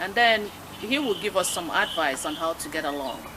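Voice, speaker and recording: Over noticeable background noise, a woman with a West African accent talks at a fairly quick pace, her pitch swinging very widely. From Nigeria. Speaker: talk show host. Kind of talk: radio interview.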